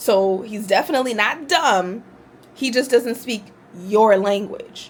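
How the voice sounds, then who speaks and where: With an animated tone, a woman speaks at a fairly slow pace and a fairly high pitch. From US, Haitian immigrant family. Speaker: vlogger. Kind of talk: casual talk to camera.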